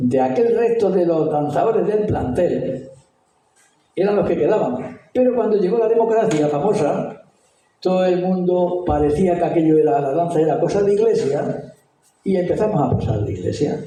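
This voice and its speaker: A man's high voice with lively intonation, very even loudness, and a moderate pace, with audible room echo. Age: 70s. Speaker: retired school headmaster. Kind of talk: talk. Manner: animated.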